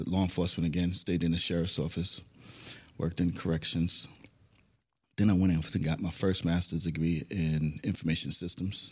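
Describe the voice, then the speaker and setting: With an American accent, a man with a very deep, low voice speaks at a moderate pace in a flat monotone. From New York City (Bronx). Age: 50s. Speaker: management consultant and former law enforcement officer. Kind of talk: interview. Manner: conversational.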